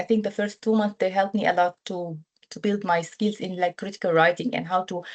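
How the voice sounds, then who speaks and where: With an Arabic accent, a woman speaks with ordinary pitch variation. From Syria. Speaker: humanitarian protection officer, alumna. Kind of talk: webinar testimony. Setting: online webinar. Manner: hesitant, many fillers and repetitions.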